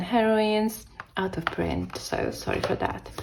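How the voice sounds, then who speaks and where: Noticeable background noise accompanies a woman who talks at a fairly slow pace. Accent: Italian. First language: Italian. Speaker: tarot youtuber. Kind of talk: casual review monologue. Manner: halting, self-correcting.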